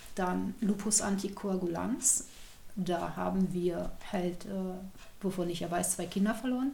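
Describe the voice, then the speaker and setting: Fairly slow speech from a woman at medium pitch, ordinary pitch variation and audible room echo. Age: 40s. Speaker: former geriatric nurse living with multiple sclerosis. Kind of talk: personal testimony in an interview.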